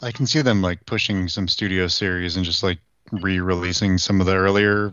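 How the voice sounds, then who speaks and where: A man with a very deep, low pitch keeps his intonation fairly even and talks at a moderate pace. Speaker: podcast co-host. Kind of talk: casual chat. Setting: video call.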